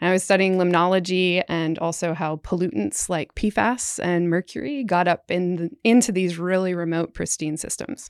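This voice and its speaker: A woman talks with hardly any pauses in a plain, everyday voice. Her pitch sits fairly low. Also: ordinary pitch variation, moderate pace, dry, close sound with no echo. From Canada. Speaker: scientist, incoming program director. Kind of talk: casual interview.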